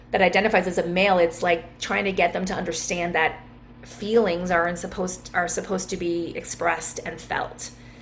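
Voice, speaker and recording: Noticeable background noise sits behind a fairly quick delivery in a flat monotone. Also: woman, fairly low pitch for a woman. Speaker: wellness coach. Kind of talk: interview.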